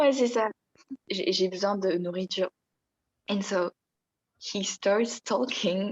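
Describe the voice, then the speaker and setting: A woman with a French accent speaks at a medium pitch with fairly even intonation, her voice dry and close with no echo. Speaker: podcast co-host. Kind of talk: casual chat.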